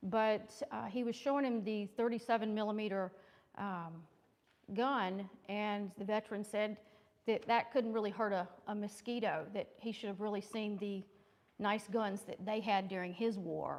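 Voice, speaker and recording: A woman speaks at a moderate pace in a fairly high voice with fairly even intonation. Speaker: historian, invited speaker. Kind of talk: lecture. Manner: loud.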